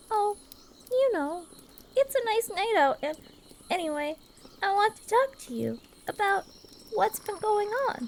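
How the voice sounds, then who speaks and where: A woman's put-on character voice, extremely high in pitch, at a moderate pace with long, frequent pauses. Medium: audio drama. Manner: soft, caring.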